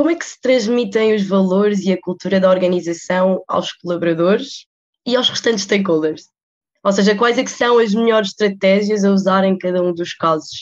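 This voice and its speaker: A woman with an unremarkable speaking voice keeps to a medium pitch, ordinary pitch variation, and a moderate pace. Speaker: student podcast host. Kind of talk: interview.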